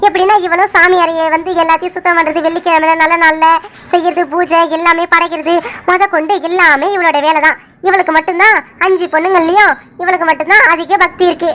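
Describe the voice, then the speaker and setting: A woman speaks in a cartoonish character voice, pitched extremely high. Her delivery is flat and monotone at a moderate pace, with very even loudness. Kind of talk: folksy village storytelling. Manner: chatty, warm, conversational.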